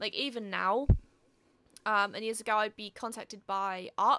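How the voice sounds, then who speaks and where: The voice belongs to a woman with a British accent. It sounds bright and sharp. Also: very clean recording, silent background. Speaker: artist and podcast host. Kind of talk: casual chat.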